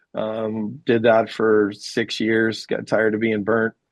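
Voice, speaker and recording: A man talks at a medium pitch. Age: 60s. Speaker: deck contractor, business owner. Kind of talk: interview. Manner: hesitant, filler-heavy.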